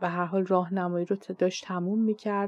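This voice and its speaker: A woman's medium-pitched voice holds a monotone, flat intonation at a moderate speed. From Iran. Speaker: podcast host and Persian language teacher. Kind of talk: scripted monologue.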